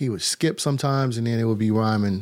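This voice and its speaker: A man with an unremarkable speaking voice and an American accent at a moderate pace. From Detroit and North Carolina. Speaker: hip-hop producer and rapper. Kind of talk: casual interview. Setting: remote link from Detroit.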